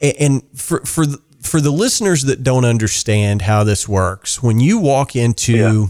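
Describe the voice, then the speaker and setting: A man with a normal speaking voice talks at a moderate pace and a medium pitch, with hardly any pauses. His intonation is lively and his loudness very even. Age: 40s. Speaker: podcast host and drummer. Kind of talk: casual interview.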